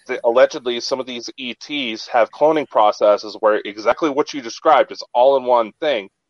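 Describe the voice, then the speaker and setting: Speaking at a moderate pace with hardly any pauses, a man uses a plain, everyday voice at medium pitch, with ordinary pitch variation and big swings in loudness. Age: 20s. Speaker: podcast co-host. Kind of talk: casual chat.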